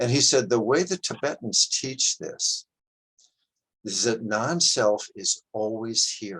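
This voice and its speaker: With a dry, close sound and no echo, a man speaks at a very slow pace. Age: 70s. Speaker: qigong teacher. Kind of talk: class talk with storytelling.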